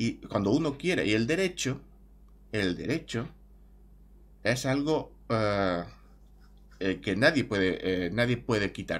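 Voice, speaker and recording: A man's lively intonation at a very slow pace, with long, frequent pauses. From Spain. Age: 30s. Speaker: YouTuber. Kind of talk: opinion monologue. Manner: halting. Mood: calm, reflective. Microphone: webcam.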